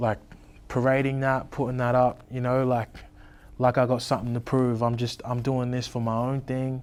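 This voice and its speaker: Flat and monotone, a man speaks at a medium pitch. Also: moderate pace. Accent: Australian. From Tweed Heads, New South Wales, Australia. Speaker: rapper. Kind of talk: interview. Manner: casual, many fillers.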